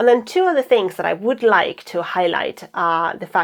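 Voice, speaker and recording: Her pitch varies in an ordinary way as the woman talks in a non-native accent. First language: not English. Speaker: actor and stand-up comedian vlogger. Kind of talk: casual vlog monologue. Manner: halting, repeats words.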